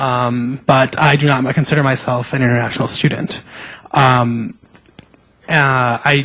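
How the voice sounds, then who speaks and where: Pausing long and often, a man talks at a fairly slow pace and medium pitch, his intonation fairly even and his loudness very even. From US (raised from toddler; born in Mexico). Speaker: panelist, student. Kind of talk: panel discussion. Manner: halting, many fillers.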